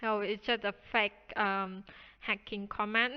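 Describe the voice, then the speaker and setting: With a non-native accent, the speaker goes at a fairly slow pace and keeps the intonation fairly even. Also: woman. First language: not English. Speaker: programming tutorial youtuber. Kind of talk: tutorial.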